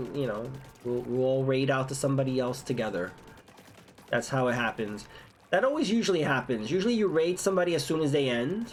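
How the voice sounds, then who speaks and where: Noticeable noise sits behind speech delivered at a fairly brisk clip. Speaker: video game streamer. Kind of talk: live gameplay commentary. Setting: live stream. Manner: repetitive, stammering.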